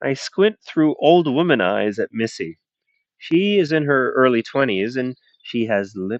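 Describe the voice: The reading aloud is plain, and the background stays quiet.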